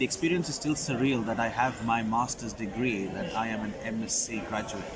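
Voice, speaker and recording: Here a man talks at a fairly quick pace in a medium pitch with ordinary pitch variation. Audible room echo and noticeable background noise surround him. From Qatar, Middle East (Indian family). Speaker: recent graduate, international student. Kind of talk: interview.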